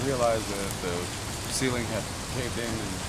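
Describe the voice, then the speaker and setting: The speech proceeds at a moderate pace. Loud background noise is heard throughout. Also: man. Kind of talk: interview answer. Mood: shaken but calm. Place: street. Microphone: camera far.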